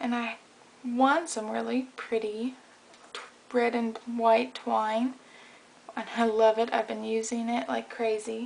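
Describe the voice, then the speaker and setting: Soft-spoken, a woman talks at a very slow pace with long, frequent pauses. Her fairly high pitch holds a monotone, flat intonation. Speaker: craft video maker. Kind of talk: tutorial. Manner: casual.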